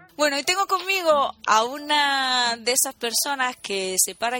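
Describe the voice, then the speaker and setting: With music in the background, a woman with a slight Asturian accent speaks in a high pitch with very wide pitch swings. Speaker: podcast host.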